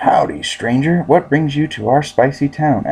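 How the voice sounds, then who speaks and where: A put-on character voice at a moderate pace. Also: man, fairly high pitch for a man. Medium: read story.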